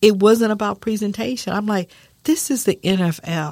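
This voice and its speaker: A woman with an American accent, medium pitch and a plain, everyday voice, at a moderate pace. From San Antonio, Texas. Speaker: small business owner. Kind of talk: interview. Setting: studio.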